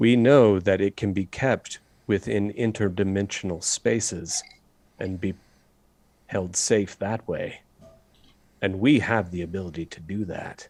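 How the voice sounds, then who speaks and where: Putting on a character voice, a man talks at a fairly low pitch and a moderate pace, with big swings in loudness and long, frequent pauses. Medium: actual play. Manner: menacing, commanding.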